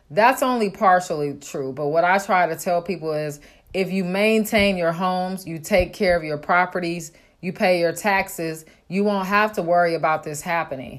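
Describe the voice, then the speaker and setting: A woman talks in a normal speaking voice at a fairly low pitch with ordinary pitch variation. The recording is very clean with a silent background, and her pace is moderate. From Oakland, California. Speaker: real estate wholesaler. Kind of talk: solo podcast monologue.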